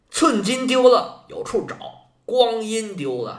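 A man speaks at a very slow pace. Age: 50s. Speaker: history podcaster. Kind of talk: history storytelling monologue.

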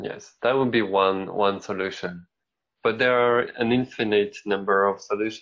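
With a French accent, a man talks at a fairly low pitch and with fairly even intonation. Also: moderate pace. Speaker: podcast co-host. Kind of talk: casual chat.

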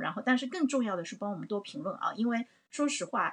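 At a fairly quick pace, a woman with a fairly high pitch speaks in an animated tone with ordinary pitch variation. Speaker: livestream host. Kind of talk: livestream discussion. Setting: livestream.

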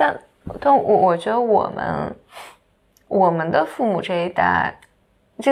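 Lively intonation marks this woman's speech. She keeps a fairly slow pace. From mainland China. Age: 30s. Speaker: podcast co-host. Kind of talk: casual chat.

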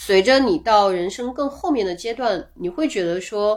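At a moderate pace, a woman speaks at a fairly high pitch with very wide pitch swings, in a very clean recording with a silent background. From Guangxi, small town near Liuzhou. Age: 40s. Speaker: travel tech product lead. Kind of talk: casual interview chat.

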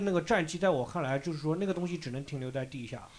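On a very clean recording with a silent background, a man talks very fast with lively intonation. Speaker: podcast host. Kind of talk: casual chat.

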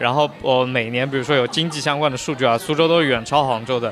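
Noticeable background noise surrounds a man talking at a very fast pace. His pitch is medium, with ordinary pitch variation. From Huzhou, Zhejiang. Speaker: podcast host, city curator. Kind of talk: casual chat.

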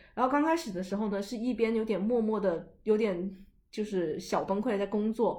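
Audible room echo surrounds a woman speaking at a moderate pace. Her fairly high voice has a dark, mellow tone and ordinary pitch variation. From China. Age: 20s. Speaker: podcast host. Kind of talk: casual chat. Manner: animated.

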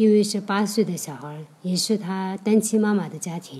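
A woman's dark, mellow, somewhat breathy voice with a Tibetan accent, at a fairly slow pace. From Hongyuan County, Aba, Sichuan (Tibetan herding area). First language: Tibetan (speaking Chinese). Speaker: nonprofit office worker and charity volunteer. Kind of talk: personal testimony. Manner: halting.

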